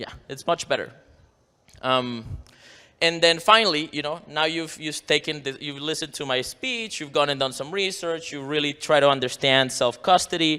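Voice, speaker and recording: The recording is very clean, with a silent background. A man speaks in a bright, sharp tone with ordinary pitch variation. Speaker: conference speaker on bitcoin security. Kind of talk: conference talk. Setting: stage with audience. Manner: fast.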